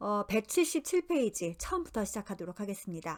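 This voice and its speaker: A normal speaking voice moves at a moderate pace in a very clean recording with a silent background. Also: woman. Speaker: tarot book reading lecturer. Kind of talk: lecture.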